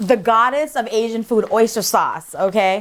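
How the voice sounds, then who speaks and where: With an animated tone, a woman speaks at a fairly high pitch, her pitch varying in an ordinary way. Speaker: cooking show host. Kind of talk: cooking tutorial. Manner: loud; animated, sassy.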